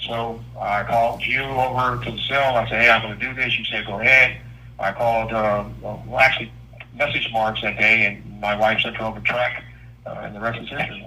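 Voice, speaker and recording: A man's medium-pitched monotone with flat intonation, at a fairly quick pace, with audible room echo. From US West Coast, South Central Los Angeles. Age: 60s. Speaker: R&B singer and writer, incarcerated. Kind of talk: interview. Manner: halting, frequent fillers and repeats.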